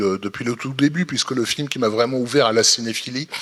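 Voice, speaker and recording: A man with ordinary pitch variation, against noticeable background noise. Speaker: film critic. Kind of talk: panel discussion. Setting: stage with audience. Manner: halting, repetitive.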